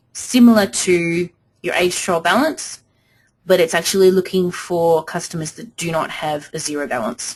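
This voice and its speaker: Ordinary pitch variation at a moderate pace in an ordinary speaking voice. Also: woman. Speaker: software trainer. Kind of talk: webinar tutorial. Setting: webinar.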